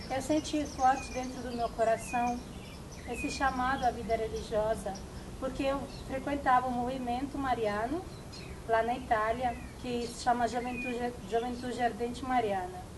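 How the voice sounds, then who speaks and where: A woman at high pitch and moderate pace, with noticeable background noise and audible room echo. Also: fairly even intonation. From Italy. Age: 20s. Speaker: novice nun. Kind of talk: testimony. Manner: halting.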